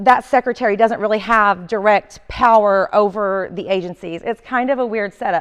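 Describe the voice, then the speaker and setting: In a dry, close sound with no echo, a woman with an Oklahoma accent speaks at a moderate pace with ordinary pitch variation. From northeastern Oklahoma. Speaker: communications executive giving training. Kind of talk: training presentation. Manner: loud.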